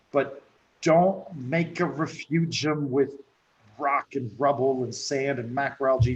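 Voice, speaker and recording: A somewhat breathy man's voice at a fairly high pitch. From France. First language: French. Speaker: reef aquarium expert. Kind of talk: interview.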